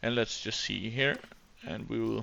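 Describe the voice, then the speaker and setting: This speaker, with a Danish accent, moves along at a moderate pace. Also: man. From Denmark. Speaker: gaming YouTuber. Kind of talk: gameplay commentary. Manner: hesitant, many fillers.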